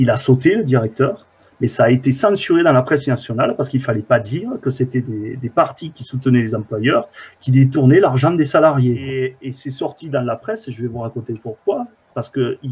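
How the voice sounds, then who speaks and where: A man speaks at a moderate pace with ordinary pitch variation and a somewhat breathy voice. His loudness swings widely. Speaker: guest. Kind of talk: interview answer. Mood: indignant, earnest. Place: home room.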